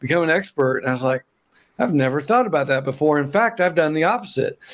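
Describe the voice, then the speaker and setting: A man with an Oklahoma accent speaks very fast in a fairly high voice, with lively intonation and very even loudness, on a very clean recording with a silent background. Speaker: accountant, business founder. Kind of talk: interview, casual chat.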